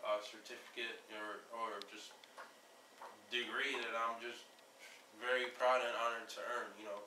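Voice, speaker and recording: Against noticeable background noise and audible room echo, a man speaks at a moderate pace in a medium pitch, his intonation monotone and flat. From Jamaica. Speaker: aviation network founder. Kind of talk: informal video introduction. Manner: halting, many fillers.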